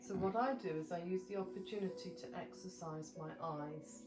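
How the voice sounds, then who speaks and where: Music plays in the background as a woman speaks at a fairly low pitch, with audible room echo. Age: 70s. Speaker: yoga instructor. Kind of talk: tutorial.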